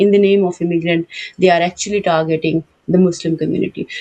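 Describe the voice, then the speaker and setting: A woman talks at a very fast pace in a fairly low pitch, her tone dark and mellow and her intonation monotone and flat. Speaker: TV show host. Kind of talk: panel interview. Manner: hesitant, many fillers. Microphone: cracked sound on remote line.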